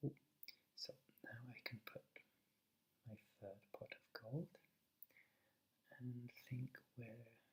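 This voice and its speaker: A soft-spoken man whispers in a British accent. He goes very slowly, leaving long, frequent pauses. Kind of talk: ASMR let's play commentary. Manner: half-whispered, soft-spoken.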